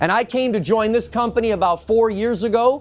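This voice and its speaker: A man speaks loudly. His pitch is high. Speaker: industry educator giving a lecture. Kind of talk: lecture. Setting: in-store talk with live audience. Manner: animated.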